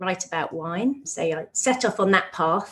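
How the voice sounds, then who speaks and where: Here a woman speaks with a medium pitch. Her pace is moderate. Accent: British. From UK. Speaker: nutritionist and author. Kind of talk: podcast interview.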